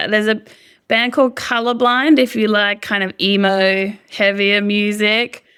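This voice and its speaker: A woman speaks in an Australian accent at a medium pitch and a fairly slow pace. Her tone is bright and sharp, her intonation fairly even, and the recording very clean with a silent background. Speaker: singer-songwriter. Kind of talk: interview. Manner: casual, hesitant with fillers.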